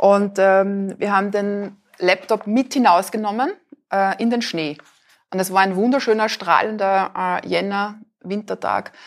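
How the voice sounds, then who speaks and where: A woman of medium pitch talks in an ordinary speaking voice. Her pace is fairly slow and her intonation fairly even. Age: 40s. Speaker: author and photographer. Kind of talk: interview at live event. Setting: café with live audience.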